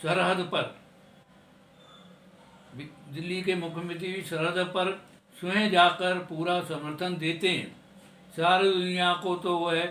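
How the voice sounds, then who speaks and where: Against noticeable background noise, a man talks at a high pitch in a monotone, flat delivery. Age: 70s. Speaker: retired telecom engineer. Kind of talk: poetry reading.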